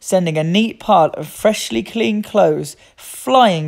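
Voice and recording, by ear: This is someone reading aloud in a natural voice. The delivery stays unforced throughout.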